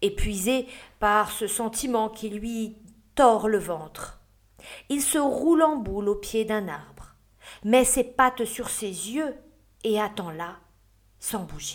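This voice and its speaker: Speaking very slowly in a gentle, soothing tone, a woman with fairly high pitch and ordinary pitch variation leaves long, frequent pauses. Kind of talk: fairy-tale narration for young children. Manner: soft, gentle, soothing storyteller pace.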